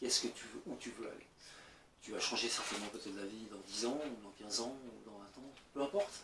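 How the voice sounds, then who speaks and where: Speaking fairly quickly, this man has an unremarkable speaking voice. His medium pitch shifts in a typical way. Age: 60s. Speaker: conference speaker. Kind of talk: talk to a live audience.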